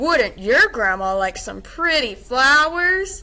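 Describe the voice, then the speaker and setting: This is a put-on character voice, high in pitch with very wide swings. It moves at a fairly slow pace. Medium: read story. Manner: sly, scheming.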